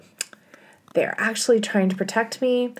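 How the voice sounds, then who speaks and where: A woman speaks in an animated tone at a moderate pace, with ordinary pitch variation. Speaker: podcast co-host. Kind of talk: casual chat.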